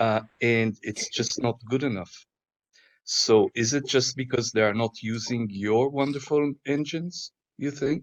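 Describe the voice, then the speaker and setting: In an Israeli accent, a man speaks fairly slowly at medium pitch with ordinary pitch variation, the sound dry and close with no echo. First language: Hebrew. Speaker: panelist. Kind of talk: panel discussion.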